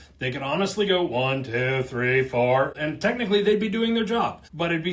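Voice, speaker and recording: A man talks at a fairly quick pace, his pitch swinging very widely. Noticeable background noise sits behind him. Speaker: company video host / explainer about auctioneering. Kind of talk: casual explainer talking to camera. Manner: conversational, humorous.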